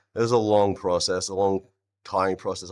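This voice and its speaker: A man with an Australian accent, fairly low in pitch and fairly quick, in a very clean recording with a silent background. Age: 30s. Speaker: vegan live streamer and rapper. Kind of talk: live stream debate chat. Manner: animated.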